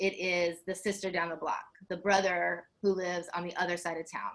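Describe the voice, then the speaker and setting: The speaker is a woman at medium pitch. She keeps a moderate pace. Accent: Southern US. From US South. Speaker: faith leader, activist. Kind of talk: panel discussion. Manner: passionate.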